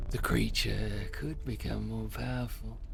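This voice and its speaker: Using a put-on character voice, a man speaks at a moderate pace over loud background noise. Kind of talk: dark storyteller narration. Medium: game stream. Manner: ominous, measured.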